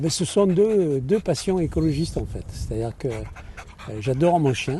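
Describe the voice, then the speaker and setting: A man speaks with lively intonation at a fairly high pitch. Noticeable background noise sits behind him. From Nîmes area, southern France. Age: 70s. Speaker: ecologist election candidate. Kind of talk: interview answer. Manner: casual, relaxed.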